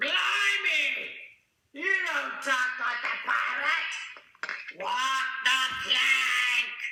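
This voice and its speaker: A cartoonish character voice speaks at a high pitch and a very slow pace. Long, frequent pauses and a slight echo mark the clip. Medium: puppet.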